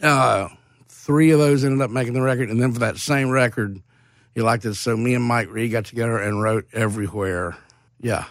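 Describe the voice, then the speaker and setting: With a Mississippi accent, a man speaks at a medium pitch and a fairly quick pace. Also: ordinary pitch variation. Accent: Southern US (Mississippi). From Mississippi (Hattiesburg). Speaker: songwriter. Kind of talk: interview. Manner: animated.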